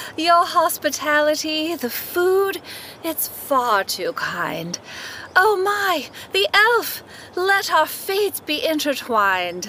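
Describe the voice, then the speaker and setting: In a put-on character voice, a woman speaks at an extremely high pitch, sing-song and warm in tone. She goes at a very slow pace over clear background noise. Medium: audio drama. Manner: sing-song, speaks in rhyme, mystical; warm, fussy like a nanny.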